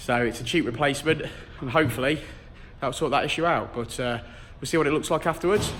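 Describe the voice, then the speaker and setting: With a British accent and a fairly high pitch, a man talks at a very fast pace, showing ordinary pitch variation and long, frequent pauses. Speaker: car tuner. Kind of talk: casual talk to camera.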